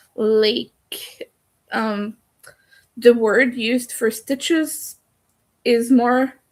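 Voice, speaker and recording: With a French accent, a woman speaks very slowly in a high pitch with fairly even intonation and long, frequent pauses. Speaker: crochet streamer. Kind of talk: casual live stream chat. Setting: live stream at home in the dark.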